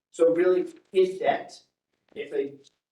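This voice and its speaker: A dark, mellow voice with an American accent and fairly even intonation is heard with audible room echo. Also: man. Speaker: public finance consultant. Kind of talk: presentation to city council. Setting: city council meeting. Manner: fast.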